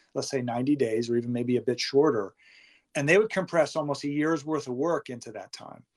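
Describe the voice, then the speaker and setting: An ordinary speaking voice from a man with an American accent, fairly high in pitch with ordinary pitch variation and a fairly quick pace. The sound is dry and close with no echo, on a very clean recording with a silent background. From Massachusetts. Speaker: former intelligence official and consultant. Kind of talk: interview.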